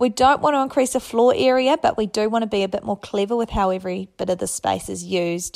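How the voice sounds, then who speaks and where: A woman with a New Zealand accent speaks at a very fast pace with hardly any pauses, at a fairly high pitch with ordinary variation. The recording is very clean with a silent background and a dry, close sound with no echo. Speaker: listener sending a question. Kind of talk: recorded voice message.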